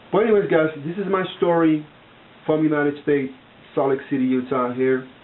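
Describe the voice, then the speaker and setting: Speaking with an American accent, a man moves at a fairly quick pace with a fairly high pitch and ordinary pitch variation. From outside the US. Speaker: vlogger. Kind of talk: casual monologue to camera. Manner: halting, many fillers and repetitions.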